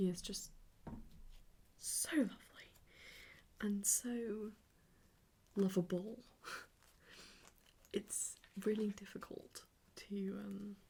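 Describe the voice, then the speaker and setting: Soft-spoken delivery at a very slow pace, with long, frequent pauses. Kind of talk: ASMR soft-spoken ramble.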